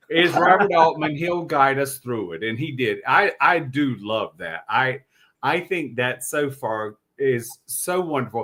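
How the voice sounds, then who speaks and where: With a Southern US accent, a man talks at a fairly slow pace in a fairly high pitch, his tone bright and sharp and his intonation lively. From US South. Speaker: podcast co-host. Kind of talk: casual chat. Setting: live stream.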